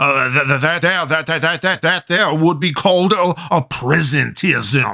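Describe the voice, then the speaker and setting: Using a cartoonish character voice, a man speaks at a fairly high pitch and moderate pace with very even loudness. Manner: rambling, stammering, folksy.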